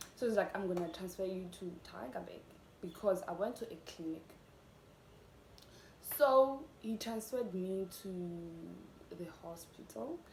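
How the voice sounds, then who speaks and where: A woman talks fairly slowly at a medium pitch, with lively intonation. She leaves long, frequent pauses, and there is noticeable background noise. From South Africa. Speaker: YouTuber. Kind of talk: casual talk to camera.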